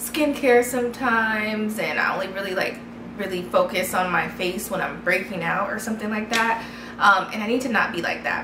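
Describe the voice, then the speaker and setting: A woman at a moderate pace, with ordinary pitch variation over noticeable background noise. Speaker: vlogger. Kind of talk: casual vlog chat. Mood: candid, conversational. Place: home room.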